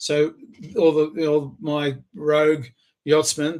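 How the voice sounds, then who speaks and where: Speaking in an Australian accent, a man has a fairly high pitch. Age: 60s. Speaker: inventor and entrepreneur. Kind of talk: self-recorded pitch video.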